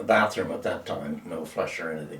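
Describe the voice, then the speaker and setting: Noticeable noise fills the background. Over it, a man talks at a moderate tempo. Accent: Nova Scotian. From Nova Scotia, East Hants (Maitland area). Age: 90s. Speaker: elderly local resident interviewed about local history. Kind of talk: oral history interview.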